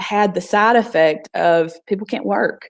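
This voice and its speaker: At a fairly slow pace, a woman with a Southern US accent speaks at a medium pitch. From US South. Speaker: nonprofit founder. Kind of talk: casual interview. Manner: halting.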